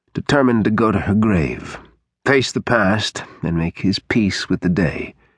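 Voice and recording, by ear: Someone is reading aloud in a natural voice. The background stays quiet.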